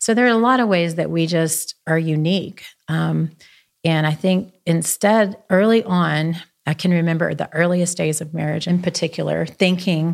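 Using a normal speaking voice, a woman talks at a moderate pace with a fairly low pitch and ordinary pitch variation. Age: 50s. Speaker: businesswoman and spiritual leader. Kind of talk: casual chat.

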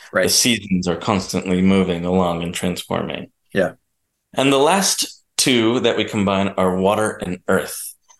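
With a New Jersey accent, a man speaks at a very deep, low pitch with ordinary pitch variation against a quiet background. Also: moderate pace. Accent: American, New Jersey. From New Jersey, US. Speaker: documentary producer. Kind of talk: casual chat.

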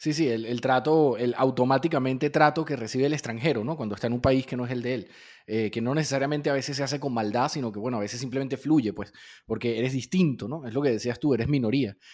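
On a very clean recording with a silent background, a man speaks at a very fast pace in a medium pitch with ordinary pitch variation. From Venezuela. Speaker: podcast host. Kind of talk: interview.

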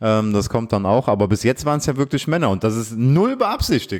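In a normal speaking voice, a man talks at a fairly quick pace with lively intonation on a very clean recording with a silent background. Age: 30s. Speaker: podcast host. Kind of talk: casual chat.

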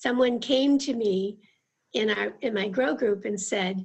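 A somewhat breathy woman at a very slow pace, with lively intonation. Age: 70s. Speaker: church member and discipleship group participant. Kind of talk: casual interview chat.

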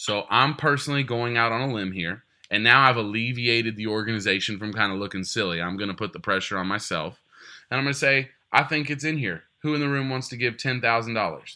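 A man speaks at a medium pitch with a Texan accent. His pace is fairly quick, and his pitch varies in an ordinary way. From Texas. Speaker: fundraising auctioneer. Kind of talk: interview.

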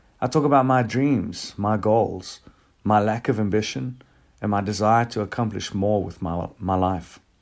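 A man with an ordinary speaking voice talks at a moderate pace, his pitch fairly low with ordinary variation, on a very clean recording with a silent background. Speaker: church devotional speaker. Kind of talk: devotional talk ending in prayer. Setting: recorded podcast. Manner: earnest, reflective; fervent, sincere.

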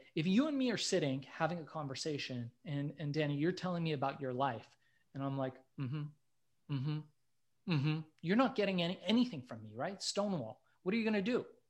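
A plain, everyday voice from a man, fairly high in pitch, with lively intonation at a fairly quick pace over a quiet background. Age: 40s. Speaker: entrepreneur. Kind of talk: podcast interview.

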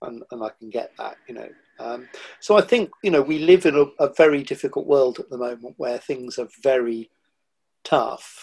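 A man's plain, everyday voice at a fairly high pitch and moderate pace, with ordinary pitch variation and big swings in loudness. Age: 60s. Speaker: nature writer and former TV producer. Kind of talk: casual interview chat.

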